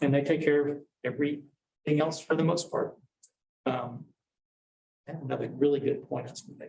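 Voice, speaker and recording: A man with a fairly high pitch and a dark, mellow, somewhat breathy tone talks at a fairly quick pace in a flat monotone, with long, frequent pauses and big swings in loudness. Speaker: real estate agent on a team. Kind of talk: panel discussion. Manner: fast.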